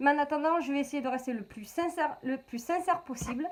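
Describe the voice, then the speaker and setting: Her pitch is high and her tone animated. The woman moves at a fairly quick pace with ordinary pitch variation. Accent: Marseille. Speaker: beauty vlogger. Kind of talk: product review vlog. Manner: chatty, animated.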